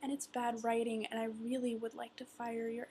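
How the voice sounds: Someone speaks in a natural reading voice.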